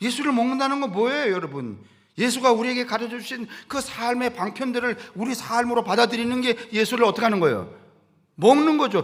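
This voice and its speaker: Pitched extremely high for a man, he talks at a fairly quick pace with ordinary pitch variation. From rural Korea. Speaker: pastor. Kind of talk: sermon. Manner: conversational, folksy.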